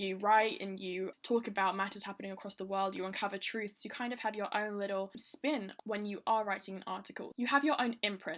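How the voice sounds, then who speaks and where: With a plain, everyday voice, a woman at a medium pitch speaks at a fairly quick pace with hardly any pauses and fairly even intonation. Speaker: podcast host. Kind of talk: podcast interview.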